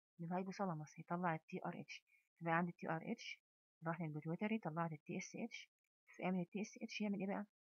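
A woman with an Egyptian accent talks at a very fast pace with a fairly low pitch. Her intonation is fairly even, and the sound is dry and close with no echo. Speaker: pharmacology professor. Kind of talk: lecture.

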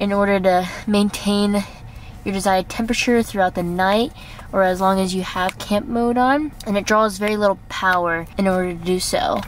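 A woman's voice at a moderate pace with ordinary pitch variation, dry sound with no echo and light background noise. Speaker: travel vlogger. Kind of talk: casual vlog chat. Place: car. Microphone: phone near.

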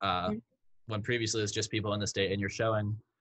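A man talks at a very fast pace in a fairly low, monotone voice with flat intonation. The background is quiet. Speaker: podcast co-host. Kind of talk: interview conversation. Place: home room. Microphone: video call.

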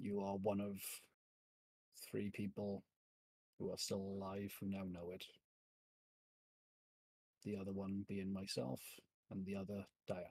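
A man's low-pitched, dark, mellow voice with a slightly husky edge, monotone and flat, at a fairly slow pace with long, frequent pauses.

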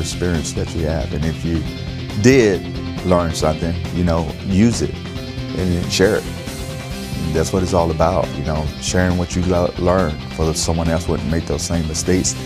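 With clear music in the background, a man speaks at a moderate pace with an American accent. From Florida, USA. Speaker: army chief warrant officer. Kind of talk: interview answer. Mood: proud, reflective, sincere. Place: studio. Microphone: lapel.

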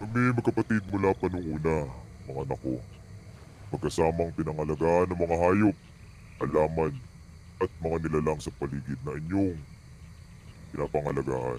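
A man puts on a character voice with a very deep, low pitch at a moderate pace, leaving long, frequent pauses. Background noise is clear. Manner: solemn, paternal, grave.

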